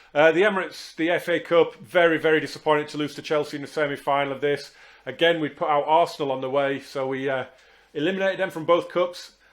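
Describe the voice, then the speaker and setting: Speaking at a very fast pace, a man with an English accent uses fairly even intonation and a fairly high pitch. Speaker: football video game streamer. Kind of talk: gameplay commentary. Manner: hesitant, many fillers.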